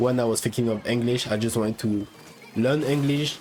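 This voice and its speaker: Over noticeable background noise, a man with a French accent speaks at a medium pitch with ordinary pitch variation. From France. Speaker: gaming YouTuber. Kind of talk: casual video monologue. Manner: halting.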